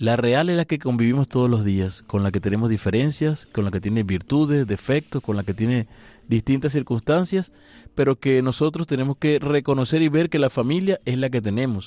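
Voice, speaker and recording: A man's medium-pitched voice, dark and mellow in tone, with lively intonation, a fairly quick pace and very even loudness, in a very clean, silent recording with a dry, close sound and no echo. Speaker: priest. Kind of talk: radio interview. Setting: studio.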